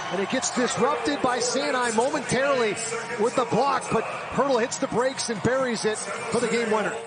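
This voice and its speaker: A man speaks at a fairly quick pace in an extremely high pitch, his tone animated and excited. His loudness stays very even over noticeable background noise. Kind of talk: live sports commentary with analysis. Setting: broadcast booth, game highlights. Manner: animated, fast, excited on goals; analytical, explains plays as they happen.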